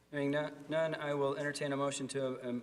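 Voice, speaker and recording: Fairly high-pitched for a man, his voice moves at a fairly quick pace with monotone, flat intonation. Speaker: village board president. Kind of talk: public meeting chairing.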